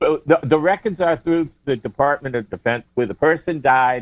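A man at a moderate pace with ordinary pitch variation, in a dry, close sound with no echo and music in the background. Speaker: ham radio license examiner. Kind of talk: casual chat. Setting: home, remote call. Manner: loud.

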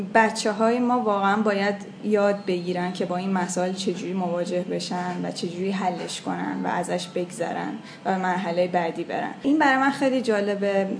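A woman of medium pitch and ordinary pitch variation talks at a moderate pace with hardly any pauses, with audible room echo and noticeable background noise. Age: 20s. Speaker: translator of children's books. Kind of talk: interview.

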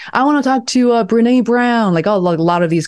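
A woman's lively intonation comes through with a quiet background behind her. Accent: Chinese. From China, Beijing. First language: Mandarin Chinese. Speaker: video producer and content strategist. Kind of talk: casual interview chat. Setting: video call.

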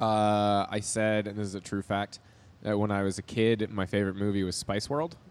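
A man speaks in a plain, everyday voice with a fairly low pitch. His pace is moderate and his intonation fairly even. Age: 30s. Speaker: film student. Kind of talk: casual chat.

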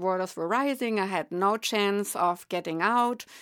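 In a very clean recording with a silent background, a woman with a German accent and a medium pitch speaks at a fairly slow pace with ordinary pitch variation. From Germany. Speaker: psychic medium. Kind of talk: interview.

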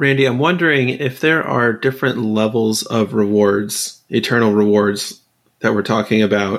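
In a normal speaking voice, a man talks at a moderate pace with very even loudness on a very clean recording with a silent background. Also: medium pitch for a man, ordinary pitch variation. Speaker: podcast co-host. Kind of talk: interview.

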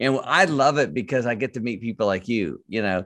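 In an American accent, a man sounds enthusiastic as he talks at a fairly quick pace with ordinary pitch variation against a quiet background. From US Midwest (Michigan). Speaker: author and life coach. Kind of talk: casual faith-based interview. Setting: video call.

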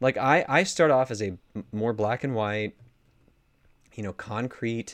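A man with an American accent talks at a very slow pace, his pitch varying in an ordinary way. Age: 30s. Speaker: pastor and author. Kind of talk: casual interview.

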